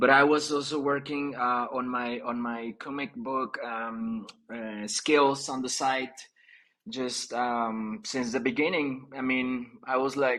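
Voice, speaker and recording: A man talks at a very slow pace with fairly even intonation. His medium-pitched voice has a bright, sharp tone. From Mexico, rural area near Mexico City. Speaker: comic book artist. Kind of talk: casual interview. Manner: halting, many fillers.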